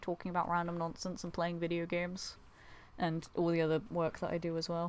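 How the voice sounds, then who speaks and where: With a Buckinghamshire accent, a woman with a fairly low pitch talks at a fairly quick pace. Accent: southern English, Buckinghamshire. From Buckinghamshire, England. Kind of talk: well-spoken, slightly posh but casual. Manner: sincere, appreciative, a little self-deprecating.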